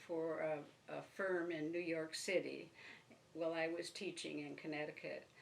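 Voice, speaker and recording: A woman speaks at a fairly slow pace in a fairly low voice, with an Upper Midwest accent. There is audible echo from the room. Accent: Upper Midwest American. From northern Michigan, Benzie County. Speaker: retired teacher, oral history interviewee. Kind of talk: oral history interview. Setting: at her home. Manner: halting.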